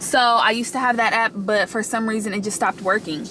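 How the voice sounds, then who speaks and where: A woman races along at a very fast pace in a fairly high pitch with ordinary pitch variation, noticeable background noise behind her. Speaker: lifestyle vlogger. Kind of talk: casual vlog tutorial. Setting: in a car.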